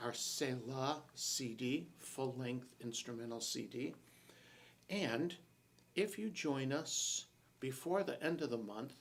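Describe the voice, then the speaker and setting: A man speaks very slowly at a medium pitch. His intonation is lively. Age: 70s. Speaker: worship leader and broadcast host. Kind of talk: casual chat. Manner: conversational with frequent fillers.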